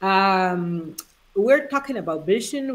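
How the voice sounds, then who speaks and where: Lively in her intonation, a woman speaks at a medium pitch with a Honduran accent. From Honduras. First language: Spanish. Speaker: life coach. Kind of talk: live interview chat. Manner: halting.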